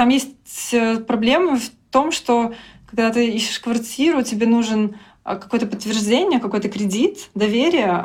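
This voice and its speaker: A woman speaks at a fairly slow pace. Her voice is fairly high-pitched and somewhat breathy. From Belarus, Grodno. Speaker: frontend developer. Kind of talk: interview. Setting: at a conference.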